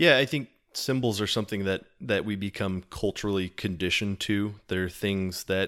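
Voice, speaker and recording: On a very clean recording with a silent background, a man speaks at a moderate pace in a fairly low pitch with an unremarkable speaking voice. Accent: American. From Texas. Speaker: podcast guest, Latter-day Saint. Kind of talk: casual conversation on religious symbolism.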